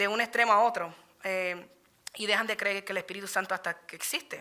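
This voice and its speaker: Bright, sharp tone from a woman at medium pitch, with fairly even intonation. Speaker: Bible study teacher. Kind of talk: sermon. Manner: fast.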